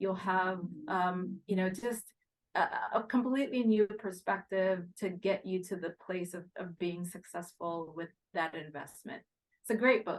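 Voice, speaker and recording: A woman with an American accent and a plain, everyday voice talks at a fairly slow pace with ordinary pitch variation. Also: medium pitch for a woman. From Haiti and US. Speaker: real estate investment executive. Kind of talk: podcast interview.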